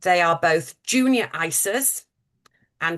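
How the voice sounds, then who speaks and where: In a British accent, a woman with a fairly low pitch speaks at a very slow pace against a quiet background. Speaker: charity fundraising manager. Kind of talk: webinar presentation. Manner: hesitant, many fillers.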